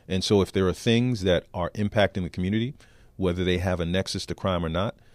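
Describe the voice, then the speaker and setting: A man's very deep, low voice with an American accent, fairly quick in pace and fairly even in intonation, with dry, close sound, no echo and a very clean, silent background. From New York City (the Bronx). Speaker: police chief. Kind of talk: interview.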